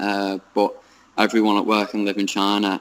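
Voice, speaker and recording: In a British accent, a man talks at a moderate pace with a fairly low pitch and monotone, flat intonation. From United Kingdom. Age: young. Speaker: English teacher in China. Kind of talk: interview answer. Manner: hesitant, many fillers.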